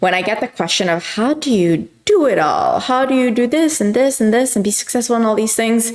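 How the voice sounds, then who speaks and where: Over noticeable background noise, a woman with a non-native accent speaks at a fairly high pitch, keeping her loudness very even and hardly pausing. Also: lively intonation. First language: not English. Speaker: youtuber answering viewer questions. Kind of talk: casual q&a monologue. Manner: hesitant, many fillers.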